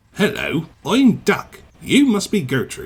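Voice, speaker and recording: A man puts on a character voice, speaking at a high pitch and a fairly slow pace. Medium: read story. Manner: polite, warm.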